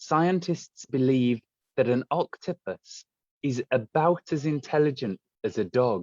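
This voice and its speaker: A man with a normal speaking voice talks fairly slowly, his fairly high pitch carrying lively intonation. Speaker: aquarium guide. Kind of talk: live virtual tour for students. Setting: aquarium, filmed on camera.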